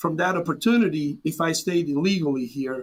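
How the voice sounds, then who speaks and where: High-pitched male voice in a Serbian accent, with ordinary pitch variation. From Serbia, rural small town. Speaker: immigrant business owner. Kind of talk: interview.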